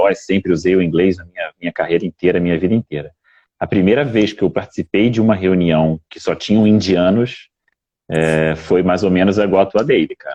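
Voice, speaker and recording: With a very deep, low pitch and a dark, mellow tone, a man speaks at a fairly quick pace with ordinary pitch variation, the sound dry and close with no echo. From Brazil. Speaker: IT business manager. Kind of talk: casual live stream chat.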